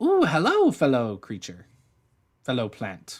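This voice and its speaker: This is a put-on character voice with a low-to-middle pitch. It moves at a fairly slow pace. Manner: friendly, excited.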